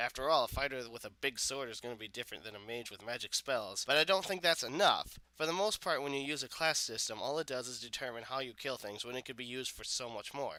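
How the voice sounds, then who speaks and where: Very fast pace from a man, his pitch varying in an ordinary way. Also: medium pitch for a man. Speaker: video game commentator. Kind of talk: video essay narration. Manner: casual, profane.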